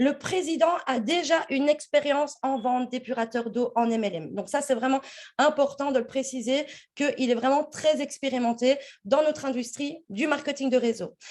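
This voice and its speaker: A woman's high-pitched voice at a moderate pace, with ordinary pitch variation, over a quiet background. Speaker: network marketing presenter. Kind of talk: business opportunity presentation.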